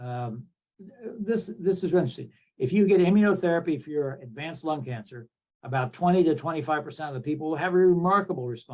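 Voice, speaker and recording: A man talks at a very fast pace with an American accent. His voice is somewhat breathy, with ordinary pitch variation. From Kansas. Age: 70s. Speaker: thoracic surgeon. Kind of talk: interview.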